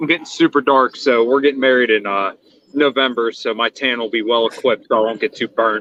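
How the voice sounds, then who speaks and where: A man talks at a very fast pace in a Pittsburgh accent. His pitch is medium and his intonation fairly even. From western Pennsylvania, Pittsburgh area. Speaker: stream guest. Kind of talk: casual chat.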